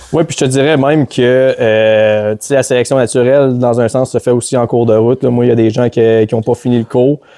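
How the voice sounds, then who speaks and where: A man with a medium-pitched, dark, mellow voice talks at a fairly quick pace in a flat monotone. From Quebec, Beauce (Saint-Zacharie). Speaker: hockey play-by-play commentator. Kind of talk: casual chat.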